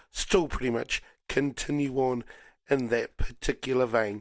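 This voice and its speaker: A man with a New Zealand accent talks at a fairly slow pace in a medium-pitched voice. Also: very clean recording, silent background. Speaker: radio host. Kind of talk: casual chat.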